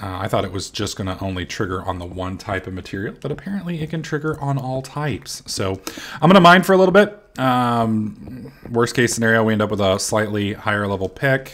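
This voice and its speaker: Over noticeable background noise, a man talks at a fairly quick pace with hardly any pauses and very wide pitch swings. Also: medium pitch for a man. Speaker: gaming YouTuber. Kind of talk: gameplay commentary. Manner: casual, hesitant with fillers.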